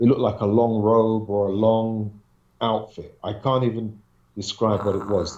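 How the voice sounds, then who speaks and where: With a London accent, a man talks at a moderate pace in a dark, mellow tone of medium pitch. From London, England. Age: 40s. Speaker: paranormal researcher and videographer. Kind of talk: interview storytelling.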